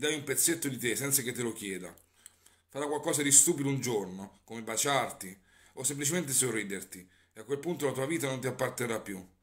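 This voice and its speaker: Fairly quick male speech with ordinary pitch variation against a quiet background. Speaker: poetry reader. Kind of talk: spoken word poetry. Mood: somber, bitter. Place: home room. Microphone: phone near.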